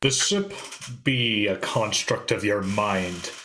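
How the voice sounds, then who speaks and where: Putting on a character voice, a man talks at a fairly low pitch and a fairly slow pace. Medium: actual play. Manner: blustering, dramatic.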